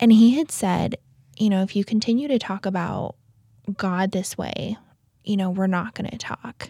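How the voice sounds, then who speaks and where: In a very clean recording with a silent background and a dry, close sound with no echo, a somewhat breathy woman with an American accent speaks at medium pitch and a moderate pace in a dark, mellow tone, using ordinary pitch variation and long, frequent pauses. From US West, South Lake Tahoe, California. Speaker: stay-at-home mom sharing trauma story. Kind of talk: testimony. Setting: studio. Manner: halting with fillers.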